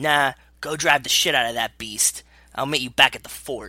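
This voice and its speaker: In a raspy, put-on character voice pitched low-to-middle, the speaker goes at a moderate pace over a very clean recording with a silent background. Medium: read story.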